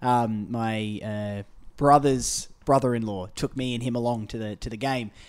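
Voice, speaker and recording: A man is speaking. He has an Australian accent. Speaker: podcast host. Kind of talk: casual interview. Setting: apartment, in person.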